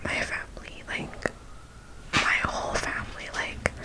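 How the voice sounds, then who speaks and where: A woman is whispering at a fairly slow pace. Noticeable background noise runs under her voice. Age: 20s. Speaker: ASMR creator. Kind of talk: whispered ASMR Q&A talk to camera. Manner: whispered, soft-spoken.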